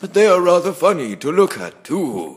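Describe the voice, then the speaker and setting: A man performs in a put-on character voice. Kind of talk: comic overacting. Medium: audio drama. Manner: pompous, grandiose.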